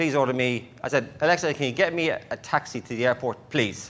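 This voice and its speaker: Very fast speech in an Irish accent against a quiet background. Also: man. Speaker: conference speaker. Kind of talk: conference talk. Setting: stage with audience.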